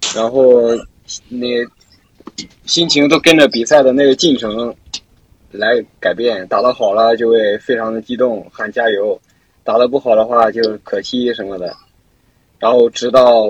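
Speaking at a fairly slow pace with long, frequent pauses, a man uses a medium pitch and fairly even intonation, the sound dry and close with no echo. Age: young. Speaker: university student, gamer. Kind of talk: casual chat.

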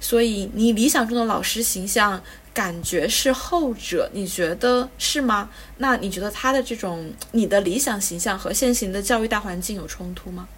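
A woman at a moderate pace, with ordinary pitch variation and noticeable background noise. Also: fairly high pitch for a woman. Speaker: podcast host. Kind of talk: casual interview chat.

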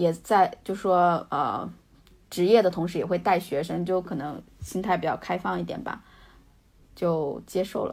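Vocal fry runs through a woman's medium-pitched voice at a fairly slow pace. The recording is very clean, with a silent background. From rural China, Hunan-Jiangxi border. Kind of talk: casual interview.

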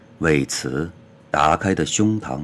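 Very deep, low pitch from a man, with ordinary pitch variation and a very slow pace. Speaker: poet reading own poems. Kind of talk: poetry reading.

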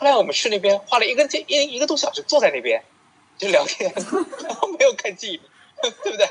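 The delivery runs at a very fast pace, broken by long, frequent pauses. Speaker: co-host, counselor. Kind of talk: casual interview chat.

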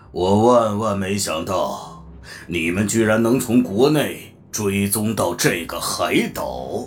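A man does a put-on character voice, raspy and fairly low, at a fairly slow pace with an audible echo. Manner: surprised, grudgingly impressed.

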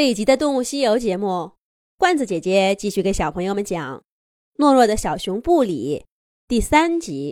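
Against a quiet background comes a natural reading voice with lively intonation.

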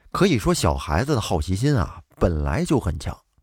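A man talks at a moderate pace with vocal fry and very wide pitch swings. The recording is very clean with a silent background, and the sound is dry and close with no echo. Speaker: storytelling podcast host. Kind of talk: storytelling narration.

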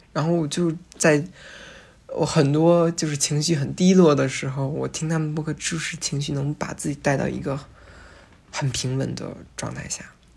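Breathy to some degree, a woman speaks in a very deep, low pitch with monotone, flat intonation. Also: moderate pace. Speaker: podcast host and first-year philosophy student. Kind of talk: casual solo monologue. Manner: hesitant with frequent fillers.

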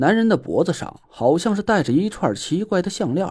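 Just an unforced reading voice.

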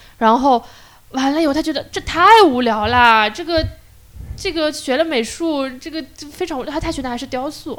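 A woman's high-pitched voice keeps to a moderate speed. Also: ordinary pitch variation. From Shanghai, China. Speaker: community activist and piano teacher. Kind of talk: casual interview chat. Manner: halting, many fillers.

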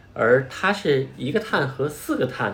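Audible room echo surrounds a man's voice. He talks at a fairly slow pace and medium pitch. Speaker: podcast host and parent. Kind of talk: casual educational chat.

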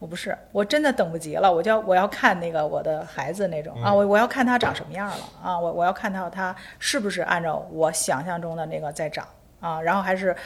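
A woman speaks at a fairly quick pace in a fairly low pitch, with ordinary pitch variation. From Beijing. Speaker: architect and interior designer. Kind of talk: casual interview chat. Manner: halting, repeats words.

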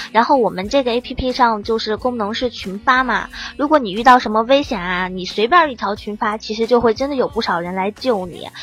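The speaker has an unremarkable speaking voice at a fairly quick pace. Pitch variation is ordinary. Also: woman. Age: 20s. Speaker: app founder, former journalist. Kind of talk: casual chat.

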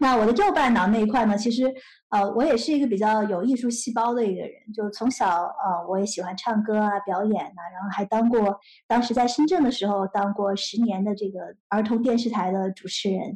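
Here a woman talks at a fairly quick pace in a fairly high, somewhat breathy voice. Her pitch variation is ordinary. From mainland China, Nanjing then Shenzhen from age 8. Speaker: tech startup founder and CEO. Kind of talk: interview.

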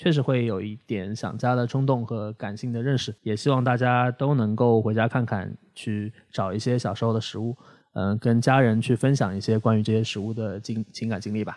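A plain, everyday voice at a fairly quick pace, fairly even intonation and a quiet background. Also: man, medium pitch for a man. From Shanghai. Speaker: podcast host. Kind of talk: casual chat.

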